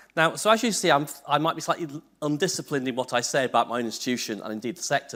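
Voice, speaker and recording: A man talks at a very fast pace with very wide pitch swings, recorded very cleanly against a silent background. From northern England, Liverpool. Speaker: university vice-chancellor, keynote speaker. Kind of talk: conference keynote.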